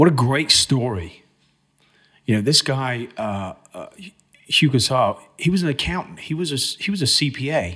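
A man talks at a fairly slow pace with long, frequent pauses, his fairly high pitch moving in lively intonation. His tone is bright and sharp, with vocal fry. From England, Cambridge. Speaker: trade show and magazine managing director. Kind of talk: casual interview chat.

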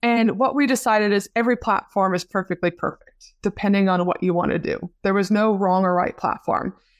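A woman speaks at a fairly quick pace and medium pitch, with hardly any pauses and very even loudness. The sound is dry and close with no echo, on a very clean recording with a silent background. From Canada. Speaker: marketing strategist. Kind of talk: interview.

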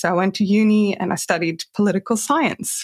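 A woman with a Swedish accent at a moderate pace. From Sweden. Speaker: career transition coach. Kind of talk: interview.

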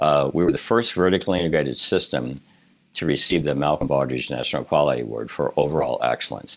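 Vocal fry runs through this very fast speech, which has ordinary pitch variation. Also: man, very deep, low pitch for a man. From Illinois, Rockford. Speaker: hospital system CEO. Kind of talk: interview.

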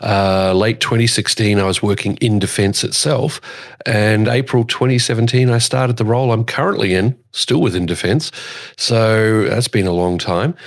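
In an Australian accent, a man speaks at a medium pitch and a fairly slow pace. His pitch varies in an ordinary way, and his loudness stays very even. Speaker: podcast host and airshow commentator. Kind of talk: casual chat.

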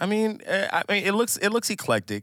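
An American accent comes through in a very clean recording with a silent background. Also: man. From Minnesota, US. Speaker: musician. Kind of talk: casual chat.

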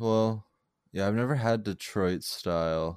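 Speaking at a very slow pace, a man with an American accent uses ordinary pitch variation. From Arizona (Tempe). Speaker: podcast host. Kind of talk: casual chat. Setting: video call.

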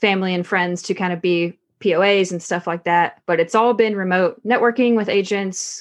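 A woman with an American accent has an unremarkable speaking voice at a medium pitch and fairly even intonation. The background is quiet. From US South, Texarkana, Arkansas. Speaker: Air Force member and real estate investor. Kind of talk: podcast interview.

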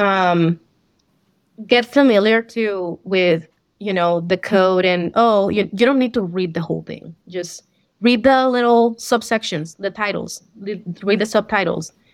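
A woman in a Spanish accent speaks fairly slowly at a medium pitch, with ordinary pitch variation, against a quiet background. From Colombia. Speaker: accountant, CPA exam passer. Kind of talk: interview. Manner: hesitant, many fillers.

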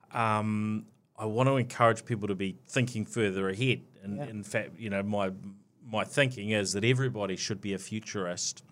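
Using a New Zealand accent, a man speaks quickly enough to count as fairly quick, with a fairly low pitch and fairly even intonation. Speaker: podcast host. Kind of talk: interview. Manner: hesitant, filler-heavy.

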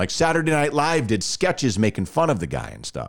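A man with an American accent has a plain, everyday voice and lively intonation. The recording is very clean with a silent background. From Texas, Dallas-Fort Worth. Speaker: radio host. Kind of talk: casual chat.

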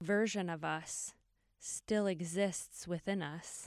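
On a very clean recording with a silent background and a dry, close sound with no echo, a woman talks in an unremarkable speaking voice at medium pitch with ordinary pitch variation. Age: 40s. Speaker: podcast host and writer. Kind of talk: casual chat.

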